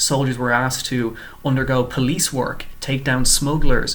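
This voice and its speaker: In an Irish accent, a man speaks at a moderate pace and medium pitch with monotone, flat intonation. Room echo can be heard. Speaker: PhD student. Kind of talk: short research presentation. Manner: scripted, clear.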